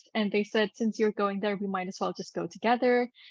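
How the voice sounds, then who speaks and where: A woman's medium-pitched voice with a Gujarati accent and ordinary pitch variation, dry and close with no echo, against a quiet background. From Singapore. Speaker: actress and business mentor for actors. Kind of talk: podcast interview.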